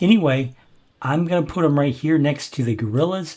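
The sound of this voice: With a slightly mellow tone, a man speaks using lively intonation.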